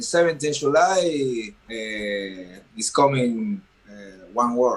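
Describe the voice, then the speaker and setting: A man with an Argentine accent, medium pitch, very wide pitch swings and a very slow pace, over noticeable background noise. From Argentina. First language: Spanish. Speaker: professional boxer. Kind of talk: press conference. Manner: halting.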